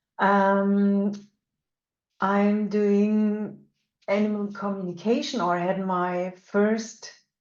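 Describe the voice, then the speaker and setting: A woman with a German accent speaks at a very slow pace and medium pitch, leaving long, frequent pauses. Her intonation is monotone and flat, and audible room echo surrounds her. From Germany. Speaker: animal communicator and energy work teacher. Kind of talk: webinar lecture. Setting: online webinar. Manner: halting with many fillers.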